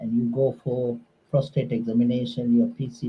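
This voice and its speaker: Speaking with a Sri Lankan accent, a man uses a medium pitch and fairly even intonation in a somewhat breathy voice. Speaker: surgical oncologist. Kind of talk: interview on a call-in radio show.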